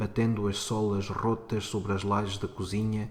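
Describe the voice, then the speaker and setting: A man speaks at a fairly low pitch in a flat monotone. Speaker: teacher. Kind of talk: short story reading.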